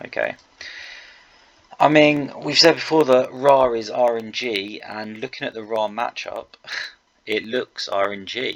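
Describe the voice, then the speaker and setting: A man talks quietly at a medium pitch with ordinary pitch variation, big swings in loudness, and long, frequent pauses. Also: fairly slow pace. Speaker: video game commentator. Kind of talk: gameplay commentary. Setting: at home late at night. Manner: quiet, held down for neighbours.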